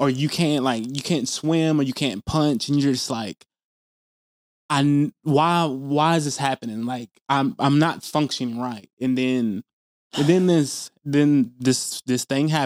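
On a very clean recording with a silent background and a dry, close sound with no echo, a man with a plain, everyday voice and an American accent speaks at a fairly slow pace, with a fairly high pitch and ordinary pitch variation. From US South, Tennessee. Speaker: podcast co-host. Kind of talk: casual chat.

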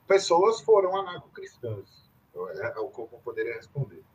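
A man talks at a moderate pace. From São Paulo state, Brazil. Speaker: professor and researcher on anarchism. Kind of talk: interview conversation, lecture-like. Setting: video call.

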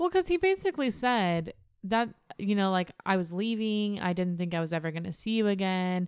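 A woman with a plain, everyday voice talks at a fairly quick pace, medium pitch and ordinary pitch variation. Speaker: podcast co-host. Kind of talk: casual chat. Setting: studio.

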